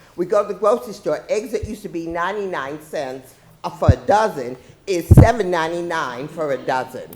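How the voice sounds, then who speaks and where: Speaking with an American accent, a woman uses lively intonation. She keeps a moderate pace, with noticeable background noise behind her. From Boston, Massachusetts. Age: 70s. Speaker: retired police officer testifying at hearing. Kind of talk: public testimony.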